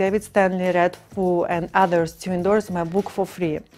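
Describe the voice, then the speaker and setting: Against faint background music, a woman speaks at a moderate pace in a monotone, flat intonation. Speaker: author. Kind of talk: promotional pitch to camera. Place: studio. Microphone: lapel.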